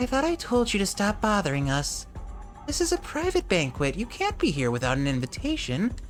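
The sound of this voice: Over clear music in the background, a put-on character voice with a fairly high pitch and a guttural sound speaks at a fairly quick pace.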